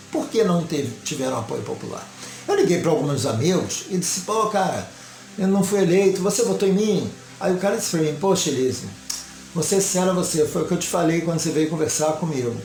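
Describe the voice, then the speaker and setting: The speech comes at a fairly quick pace with ordinary pitch variation, set against audible room echo and music in the background. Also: man, high pitch for a man. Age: 60s. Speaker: local political candidate and commentator. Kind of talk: political commentary monologue.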